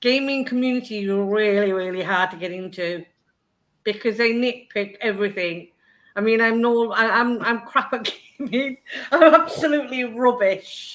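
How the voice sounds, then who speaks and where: With an English accent, a woman with a fairly high pitch speaks at a moderate pace with ordinary pitch variation. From Oldham, northern England. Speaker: youtuber guest. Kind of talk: casual chat. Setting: live stream.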